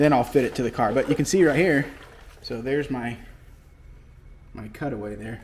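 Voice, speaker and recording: Loudness swings widely at a moderate pace, with ordinary pitch variation, long and frequent pauses, and noticeable background noise. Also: man. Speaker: car fabricator and restoration video maker. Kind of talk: workshop tutorial. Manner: casual, rambling with fillers.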